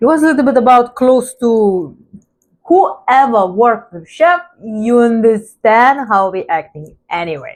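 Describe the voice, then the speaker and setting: A woman with a non-native accent at fairly high pitch, very wide pitch swings, big swings in loudness and a fairly slow pace. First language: not English. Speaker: vlogger. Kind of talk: casual storytelling monologue.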